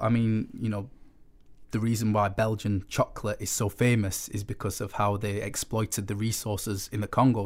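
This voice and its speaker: Recorded very cleanly with a silent background, a man with a Sheffield accent speaks at a moderate pace in a fairly low pitch with monotone, flat intonation. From northern England, Sheffield. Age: young. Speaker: writer and photographer. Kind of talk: casual chat.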